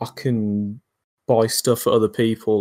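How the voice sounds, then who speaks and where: Speaking with a British accent at a fairly slow pace, a man uses a dark, mellow tone at medium pitch with fairly even intonation, in a very clean recording with a silent background. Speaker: bot developer. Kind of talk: interview.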